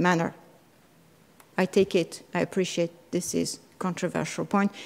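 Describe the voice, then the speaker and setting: The speaker has a French accent and fairly even intonation. The recording is very clean, with a silent background. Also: woman. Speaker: constitutional law scholar. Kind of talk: conference talk. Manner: halting.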